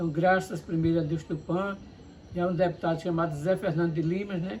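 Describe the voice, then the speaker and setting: Speaking fairly quickly, a man uses a high pitch with monotone, flat intonation. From Paraíba, northeastern Brazil. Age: 60s. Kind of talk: interview.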